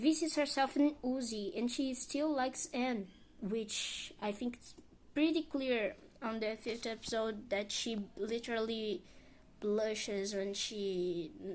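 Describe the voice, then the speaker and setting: Very slow and with big swings in loudness, a woman with a non-native accent speaks at a fairly high pitch with ordinary pitch variation. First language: not English. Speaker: video essayist. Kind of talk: character analysis monologue. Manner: halting, stumbles over words.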